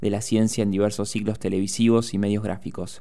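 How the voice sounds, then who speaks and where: A man with a Rioplatense accent, fairly low in pitch, with a dark, mellow tone, monotone, flat intonation and a fairly quick pace. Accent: Argentine Rioplatense Spanish. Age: 20s. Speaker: radio host. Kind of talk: radio interview. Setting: radio studio.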